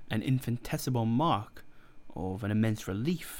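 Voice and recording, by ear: The speaker is reading aloud in a natural voice. The words are read out rather than spoken freely.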